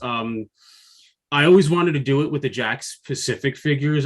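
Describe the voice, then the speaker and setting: A man speaks with an American accent. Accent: New Jersey accent (jokingly denies it). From New Jersey. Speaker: freelance toy designer, figure line creator. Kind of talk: interview.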